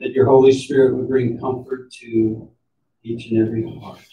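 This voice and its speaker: A man speaks somewhat breathily at a fairly slow pace in a monotone, flat intonation. Light background noise and audible room echo are present. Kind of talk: funeral prayer. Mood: solemn, slow measured prayer. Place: church.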